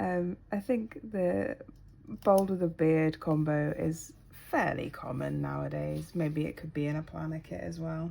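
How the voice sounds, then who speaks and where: The pace of this woman's speech is fairly slow. She has a British accent. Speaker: planner YouTuber. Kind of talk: casual tutorial-style chat. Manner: hesitant with many ums.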